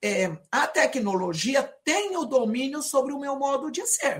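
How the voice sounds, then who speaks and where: Her pitch swings very widely as this woman speaks. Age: 50s. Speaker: educator. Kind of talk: lecture. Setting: video call. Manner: many fillers and hesitations.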